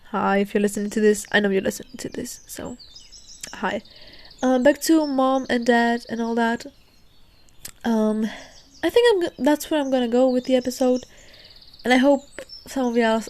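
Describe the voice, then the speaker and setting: Soft-spoken and high-pitched, a woman talks at a moderate pace with ordinary pitch variation and long, frequent pauses. Noticeable background noise can be heard. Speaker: podcast host. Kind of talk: casual podcast chat. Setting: outdoors.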